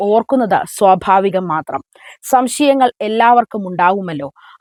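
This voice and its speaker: A woman's voice has very wide pitch swings and a dry, close sound with no echo. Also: very clean recording, silent background. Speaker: church news commentator. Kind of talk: scripted news commentary.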